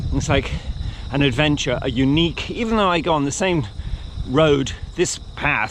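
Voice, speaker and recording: A man's fairly high voice with lively intonation. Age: 60s. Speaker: cycling and running vlogger. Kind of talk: casual vlog monologue. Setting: outdoors, riding a bike.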